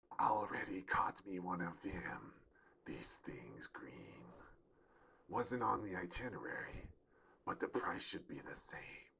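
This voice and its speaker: A man whispers in a put-on character voice. He goes fairly slowly, with long, frequent pauses. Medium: read story. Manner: drawling, smug and taunting.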